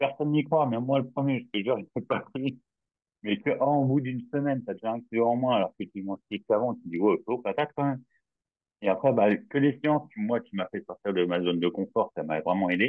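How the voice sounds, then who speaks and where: Delivered at a fairly quick pace, the speech has lively intonation. It comes in a normal speaking voice. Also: man, medium pitch for a man. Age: 40s. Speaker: client testimonial, railway worker. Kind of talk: testimony.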